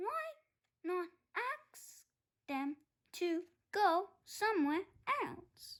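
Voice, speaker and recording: Using a put-on character voice at an extremely high pitch, a woman talks at a very slow pace with long, frequent pauses. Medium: read story.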